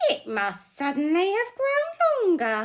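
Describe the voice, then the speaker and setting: In a put-on character voice, a woman talks squeakily at a fairly slow pace, her extremely high pitch making very wide swings. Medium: read story.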